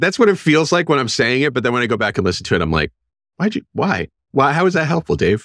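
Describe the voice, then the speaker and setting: A man with a fairly high pitch and vocal fry talks very fast with very wide pitch swings, in a dry, close, echo-free sound with a very clean recording and a silent background. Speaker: medical school administrator and podcast producer. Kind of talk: casual interview. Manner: self-deprecating, casual.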